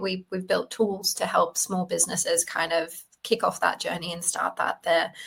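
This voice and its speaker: An Australian-accented woman at a moderate pace, her pitch medium. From Australia, Sydney. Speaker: data privacy company co-founder. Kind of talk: interview. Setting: remote call.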